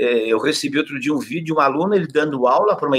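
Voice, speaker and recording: A man's fairly high voice with a bright, sharp tone and lively intonation. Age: 70s. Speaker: physical education professor. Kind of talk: interview.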